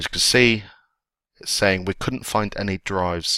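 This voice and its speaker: In an English accent, a bright, sharp voice moves at a fairly quick pace in a very clean recording with a silent background and a dry, close sound with no echo. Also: man. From England. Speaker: IT tech blogger and video instructor. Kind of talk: tutorial. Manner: casual.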